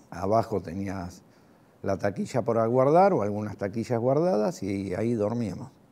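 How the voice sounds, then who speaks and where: A man's fairly low, dark and mellow voice in a Rioplatense accent, at a moderate pace with ordinary pitch variation. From Argentina, Lanús (Greater Buenos Aires); Buenos Aires, Argentina. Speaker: war veteran. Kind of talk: testimony. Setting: recorded interview. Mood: reflective, calm, some animation. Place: home room.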